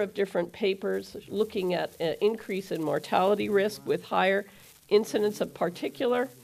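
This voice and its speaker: On a very clean recording with a silent background, a woman speaks with vocal fry at a moderate pace and ordinary pitch variation. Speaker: cardiologist speaker at medical conference. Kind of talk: conference lecture.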